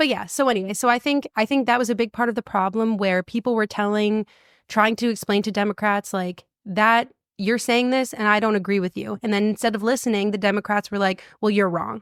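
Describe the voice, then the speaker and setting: Speaking at a fairly quick pace, a woman with a fairly high pitch keeps her intonation fairly even in a very clean recording with a silent background and a dry, close sound with no echo. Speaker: podcast co-host. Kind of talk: casual chat. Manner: fast.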